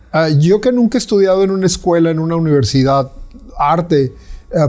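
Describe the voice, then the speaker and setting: Moderate pace and ordinary pitch variation in a man's speech. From Mexico. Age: 60s. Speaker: visual artist. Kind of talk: interview conversation. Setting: artist's studio. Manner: halting with many fillers.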